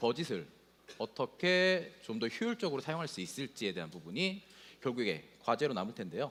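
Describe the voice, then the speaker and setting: A man talks with vocal fry and very wide swings in pitch. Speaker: solutions architect presenting at a tech conference. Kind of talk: conference presentation.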